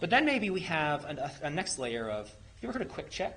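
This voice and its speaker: A man talking at a fairly quick pace, with audible room echo around him. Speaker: software engineer presenting at a meetup. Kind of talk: technical presentation with audience Q&A. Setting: meetup room with live audience. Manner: fast; casual, many fillers and restarts.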